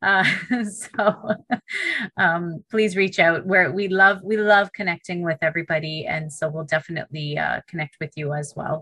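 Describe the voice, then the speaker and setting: A woman's fairly low voice with ordinary pitch variation, in a Canadian accent, at a moderate pace, with a dry, close sound and no echo. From Canada, Toronto. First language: Punjabi. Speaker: middle school teacher, podcast host. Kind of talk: podcast interview.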